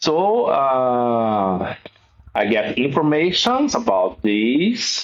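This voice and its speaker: A man with a Brazilian accent at a very slow pace. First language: Portuguese. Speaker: guitarist. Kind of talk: interview. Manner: halting.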